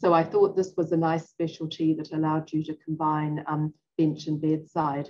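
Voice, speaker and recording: Delivered at a moderate pace with a New Zealand accent, the voice has a dark, mellow tone and monotone, flat intonation. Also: woman, very deep, low pitch for a woman. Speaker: physician-scientist and professor. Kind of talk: interview.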